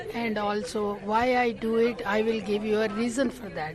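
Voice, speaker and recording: A woman speaks at a fairly high pitch with fairly even intonation, while crowd noise fills the background and room echo is audible. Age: 80s+. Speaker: community volunteer. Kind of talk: radio interview.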